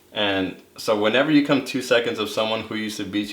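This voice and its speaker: With noticeable background noise, a man at medium pitch talks fairly quickly using fairly even intonation. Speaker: college runner. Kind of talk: casual interview monologue. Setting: seated on camera.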